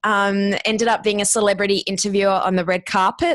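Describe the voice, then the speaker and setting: With an Australian accent, the speech runs at a fairly quick pace in a monotone, flat intonation on a very clean recording with a silent background. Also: woman, dry, close sound with no echo. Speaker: podcast producer and former radio host. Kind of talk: interview, casual chat.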